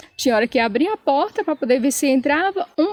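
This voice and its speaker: Lively intonation in a São Paulo accent, with a dry, close sound and no echo. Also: woman. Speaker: channel co-host with husband. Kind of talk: casual chat, personal story. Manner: animated, emotional.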